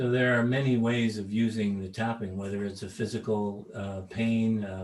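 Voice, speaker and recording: A man's fairly low voice, monotone and flat, at a fairly slow pace. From Canada. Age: 70s. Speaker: tapping trainer. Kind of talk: talk with consecutive interpretation. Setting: video call. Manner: halting with fillers.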